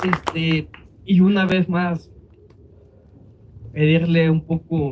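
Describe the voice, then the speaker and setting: A man talks with fairly even intonation. His voice is somewhat breathy. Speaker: immigrant facing deportation case. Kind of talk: speech at a vigil.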